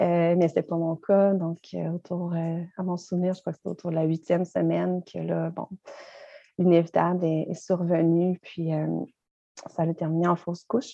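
Speaking at a moderate pace with long, frequent pauses, a woman with a Quebec accent uses a fairly low pitch and monotone, flat intonation. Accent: Québécois French. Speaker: mindfulness teacher and author. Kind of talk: interview.

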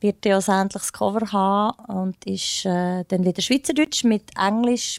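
In an unremarkable speaking voice, a woman talks at a moderate pace and medium pitch with ordinary pitch variation, captured in a very clean recording with a silent background and a dry, close sound with no echo. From Bernese Oberland, Switzerland. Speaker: soul singer. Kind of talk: interview.

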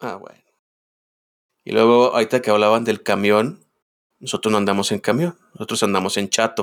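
A man speaks at a moderate pace in a fairly low voice, with ordinary pitch variation and big swings in loudness. Long, frequent pauses break up his speech on a very clean recording with a silent background. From Guadalajara, Jalisco, Mexico. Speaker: podcast co-host. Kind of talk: casual chat.

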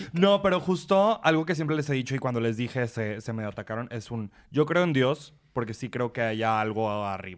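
A man's unremarkable speaking voice at a medium pitch, with lively intonation and a moderate pace. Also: very clean recording, silent background. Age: 20s. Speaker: podcast host. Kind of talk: casual chat.

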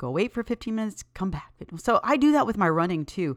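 Very fast and animated, a woman's voice swings very widely in pitch over a very clean recording with a silent background. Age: 50s. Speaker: fitness podcast host, personal trainer. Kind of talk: casual solo podcast talk.

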